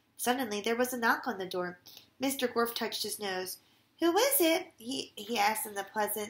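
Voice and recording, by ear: Lively intonation in a natural voice reading aloud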